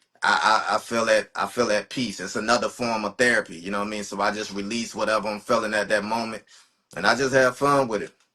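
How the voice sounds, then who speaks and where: This man speaks at a fairly quick pace in a bright, sharp tone, with medium pitch and fairly even intonation. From eastern North Carolina, US. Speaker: rapper. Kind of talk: podcast interview. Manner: casual, relaxed.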